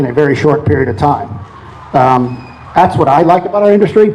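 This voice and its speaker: A man talks at a fairly quick pace in a fairly high pitch while noticeable background noise carries on behind him. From New Orleans, Louisiana. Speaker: oil company executive. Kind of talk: talk to an audience. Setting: event with audience.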